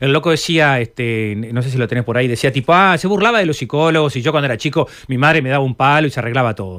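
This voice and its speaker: Talking at a very fast pace with hardly any pauses, a man with a Uruguayan accent uses lively intonation at a medium pitch. The recording is very clean, with a silent background. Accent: Uruguayan Rioplatense Spanish. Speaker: psychologist. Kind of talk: radio interview.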